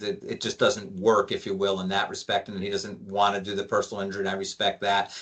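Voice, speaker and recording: This man has a normal speaking voice, pitched fairly low. He talks at a fairly quick pace with fairly even intonation. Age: 60s. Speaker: lawyer. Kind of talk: interview.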